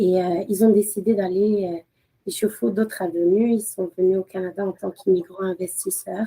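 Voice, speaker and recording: The delivery moves at a moderate pace, and the intonation stays fairly even. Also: woman, medium pitch for a woman. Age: 30s. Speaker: lawyer and mother. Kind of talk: podcast interview. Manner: hesitant, many fillers, code-switching with Arabic.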